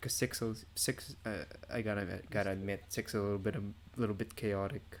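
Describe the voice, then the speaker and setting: A man talks in a plain, everyday voice. His pitch is fairly low, his pace fairly quick and his intonation fairly even. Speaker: podcast host. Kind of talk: casual chat. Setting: online voice call.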